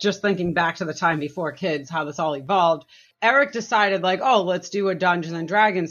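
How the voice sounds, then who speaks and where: Fairly low in pitch, a woman's normal speaking voice shows ordinary pitch variation. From Massachusetts. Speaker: board game designer. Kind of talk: casual interview.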